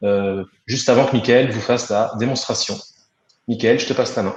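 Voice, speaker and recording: With fairly even intonation, a man of medium pitch speaks at a moderate pace. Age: 30s. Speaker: software customer success manager. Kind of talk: webinar presentation. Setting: online webinar. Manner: hesitant, many fillers.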